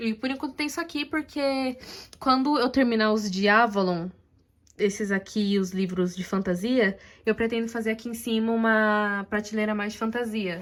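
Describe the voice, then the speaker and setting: In a very clean recording with a silent background, a woman talks at a moderate pace with a fairly high pitch and ordinary pitch variation. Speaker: booktuber. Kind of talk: casual vlog. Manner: soft-spoken.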